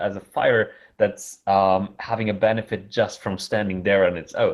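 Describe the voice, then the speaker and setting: In a German accent, a man talks at a moderate pace with a fairly low pitch and fairly even intonation against a quiet background. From Germany. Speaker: conference chair. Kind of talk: conference opening talk. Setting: online virtual conference. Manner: halting.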